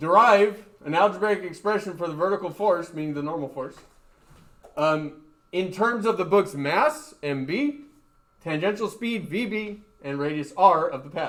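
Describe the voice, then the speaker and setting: Audible room echo colors a man's high-pitched voice with lively intonation. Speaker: high school physics teacher. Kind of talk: lecture. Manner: fast.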